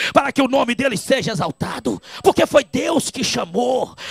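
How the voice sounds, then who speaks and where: A man shouting in an animated tone at a moderate pace, the sound dry and close with no echo, with noticeable background noise. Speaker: evangelist preacher. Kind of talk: sermon.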